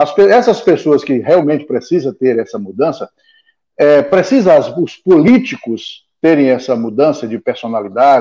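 Over a quiet background, a man speaks at a moderate pace in a fairly high voice. His tone is dark and mellow, and his pitch swings very widely. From Goiás and southern Pará, Brazil. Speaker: local broadcaster and political commentator. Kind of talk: casual chat. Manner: halting.

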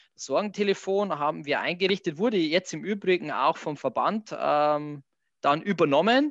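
With a Bavarian accent, a man speaks at a high pitch, the sound dry and close with no echo over a quiet background. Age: 30s. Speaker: hotel director. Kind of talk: interview.

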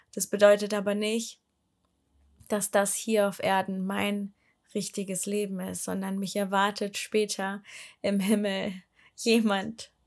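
A woman talks at a very slow pace in a monotone, flat intonation, with long, frequent pauses. The recording is very clean, its background silent. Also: medium pitch for a woman. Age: 20s. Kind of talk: personal testimony monologue. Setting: home, sitting on living room floor. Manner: hesitant, many filler sounds.

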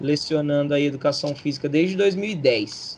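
Pitch varies in an ordinary way as a man talks at a fairly slow pace. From Brazil, São Paulo state (Barrinha, near Ribeirão Preto). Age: 30s. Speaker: PE teacher and local political candidate. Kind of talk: casual interview.

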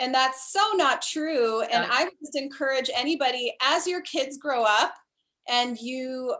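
A woman with an American accent speaks in a raised, projected voice at a moderate pace. Her high pitch has a bright, sharp tone and ordinary pitch variation. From US, Colorado. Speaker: professional dancer and instructor. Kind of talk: casual interview.

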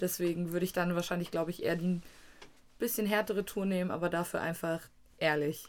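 Though she pauses long and often, a woman at a fairly low pitch talks at a very fast pace with very even loudness and fairly even intonation. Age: 20s. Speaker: podcast co-host, university student. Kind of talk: casual chat. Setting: studio.

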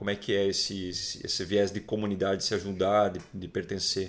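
A man talks at a moderate pace with a Brazilian accent. His pitch is fairly low. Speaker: podcast host. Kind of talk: casual chat.

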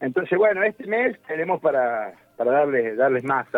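Using a plain, everyday voice, a man talks at a fairly quick pace with a fairly high pitch and lively intonation. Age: 40s. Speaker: MMA fighter and fitness coach. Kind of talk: radio phone interview.

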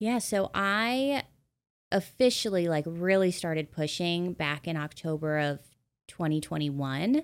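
On a very clean recording with a silent background, an ordinary speaking voice with an American accent moves at a fairly slow pace with lively intonation. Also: woman, fairly low pitch for a woman. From US Midwest. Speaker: loan officer. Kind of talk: interview.

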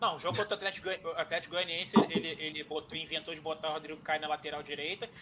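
A man with a fairly high pitch talks at a very fast pace and with fairly even intonation, over noticeable background noise. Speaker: football fan guest. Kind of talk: casual chat.

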